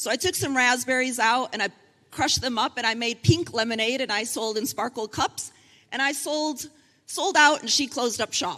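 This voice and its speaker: In an American accent, a woman speaks at a moderate pace with a high pitch and lively intonation. Her tone is bright and sharp. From United States. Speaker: panel moderator and consultant. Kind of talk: panel moderation at conference.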